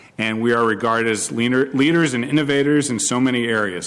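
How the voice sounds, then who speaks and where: A man speaks at a medium pitch with a Boston accent. His pace is fairly quick, with ordinary pitch variation. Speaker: county manager. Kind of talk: formal tribute remarks at public board meeting. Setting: public board meeting.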